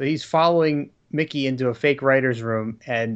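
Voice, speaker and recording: A man with an American accent and an unremarkable speaking voice, fairly high in pitch, with ordinary pitch variation and a quiet background. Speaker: podcast commentator. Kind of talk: casual chat.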